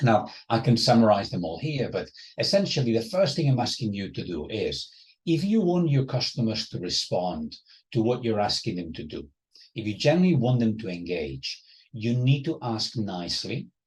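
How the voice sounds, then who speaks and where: A somewhat breathy man at a medium pitch speaks at a moderate pace, his voice making very wide pitch swings. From Spain, Barcelona area. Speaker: professor. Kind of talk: lecture.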